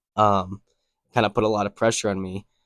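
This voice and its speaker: A man with an American accent, dry close sound without echo, very clean recording over a silent background. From US Northeast, Connecticut. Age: 20s. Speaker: landscaping business owner. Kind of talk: casual vlog talk to camera. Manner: casual, many fillers.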